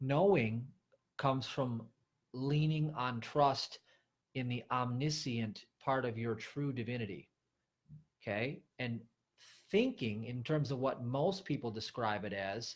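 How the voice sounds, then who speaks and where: Somewhat breathy, a man speaks at a medium pitch with ordinary pitch variation, at a fairly slow pace with long, frequent pauses. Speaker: spiritual teacher. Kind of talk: livestream sermon. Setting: livestream.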